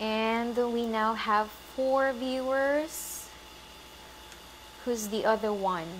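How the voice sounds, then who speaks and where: A woman's fairly high voice at a very slow pace, fairly even in intonation, with long, frequent pauses, audible room echo and noticeable background noise. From Philippines. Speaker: vegan lifestyle coach. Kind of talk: live stream course launch. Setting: Facebook live stream. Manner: halting.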